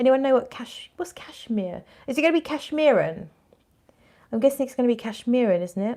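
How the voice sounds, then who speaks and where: A woman with a British accent speaks at a fairly quick pace in a high pitch with lively intonation. Her tone is dark and mellow, and her loudness swings widely. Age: 40s. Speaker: fragrance vlogger. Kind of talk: casual livestream chat, reading viewer comments. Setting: fragrance event in a shop.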